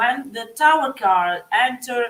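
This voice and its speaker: A woman speaks with an Italian accent, her high voice rising and falling in a lively way. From Italy. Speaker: psychic. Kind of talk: live tarot reading. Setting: live stream. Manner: halting.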